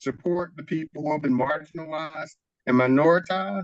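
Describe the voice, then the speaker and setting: A man with a fairly high pitch and fairly even intonation speaks in a plain, everyday voice. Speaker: nonviolence trainer and community organizer. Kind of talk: workshop presentation.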